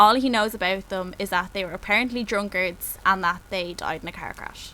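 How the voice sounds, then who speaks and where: Woman with a Dublin accent, medium pitch, a bright, sharp tone and fairly even intonation. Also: fairly quick pace, big swings in loudness. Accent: Dublin Irish. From Ireland, Dublin. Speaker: podcast co-host. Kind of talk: casual chat. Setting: Skype call.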